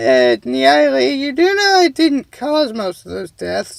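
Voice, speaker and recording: A man puts on a character voice, pitched high, and talks at a fairly slow pace. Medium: read story. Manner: flustered.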